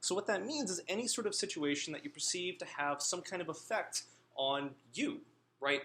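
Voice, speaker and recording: A man with an American accent speaks at a high pitch, his bright, sharp tone moving through very wide pitch swings. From US Northeast. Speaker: guest lecturer. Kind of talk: lecture. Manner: fast.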